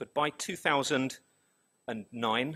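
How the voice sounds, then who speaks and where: In a London accent, a man speaks in a bright, sharp tone with ordinary pitch variation, recorded dry and close with no echo against a silent background in a very clean recording. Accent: British, London. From London, England. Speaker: business executive presenting survey results. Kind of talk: conference presentation.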